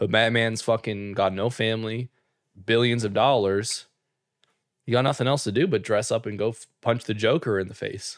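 The recording is very clean, with a silent background. A man with an ordinary speaking voice talks at a moderate pace and medium pitch, his intonation fairly even. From Canada. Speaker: podcast co-host. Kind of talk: casual chat.

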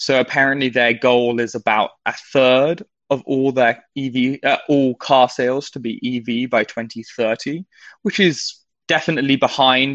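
With a British accent, a man of medium pitch speaks at a very slow pace with fairly even intonation. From Britain. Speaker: financial writer. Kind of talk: market news chat.

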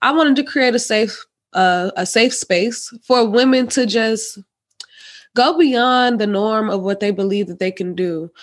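A woman speaks in a plain, everyday voice at a fairly slow pace. Her pitch is fairly high, with ordinary variation. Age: 20s. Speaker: podcast host. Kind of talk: casual interview chat.

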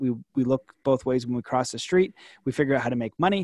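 In a quiet background, a man with a plain, everyday voice of medium pitch speaks at a fairly quick pace, the sound dry and close with no echo. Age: 30s. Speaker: author and coach. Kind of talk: casual chat.

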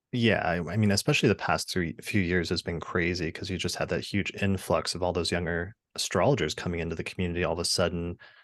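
A man with a very deep, low pitch and ordinary pitch variation at a very fast pace, hardly any pauses, against a quiet background. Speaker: astrologer and podcaster. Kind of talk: casual interview chat. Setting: video call.

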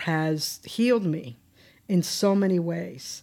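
Very slowly, a woman with a Spanish accent speaks in a dark, mellow tone in a very clean recording with a silent background. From Cuba, Pinar del Rio. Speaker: state social services commissioner. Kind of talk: interview. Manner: halting, many fillers.

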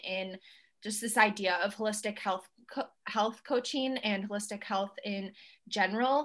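Against a quiet background, a woman with a Northeastern US accent speaks at a fairly high pitch with fairly even intonation. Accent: US Northeast American. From central New York. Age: 20s. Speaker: holistic health coach. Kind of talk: interview conversation.

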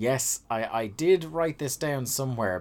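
On a very clean recording with a silent background, a man speaks with lively intonation in an Irish accent. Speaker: podcast host. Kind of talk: casual chat. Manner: fast.

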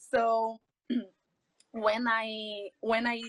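A woman with a Brazilian Portuguese accent and a fairly high pitch, in a dry, close sound with no echo. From Brazil, São Paulo. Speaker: jiu-jitsu athlete and coach. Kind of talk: interview.

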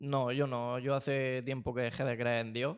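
This is an ordinary speaking voice: a man with a fairly high pitch at a fairly slow pace. The recording is very clean, with a silent background. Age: 20s. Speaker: film and sound student. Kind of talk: casual chat.

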